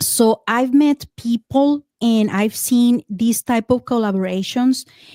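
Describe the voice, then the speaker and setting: A woman with a Spanish accent speaks very slowly, in a fairly high pitch with ordinary pitch variation and a dark, mellow tone. The recording is very clean and dry, close with no echo, over a silent background. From Mexico. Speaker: podcaster and paranormal experiencer. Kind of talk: casual interview chat. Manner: halting, frequent fillers and repeats.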